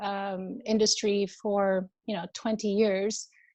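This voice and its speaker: A woman with an Albanian accent at a fairly slow pace against a quiet background. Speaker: wellness coach. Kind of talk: interview. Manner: warm, hesitant with many fillers.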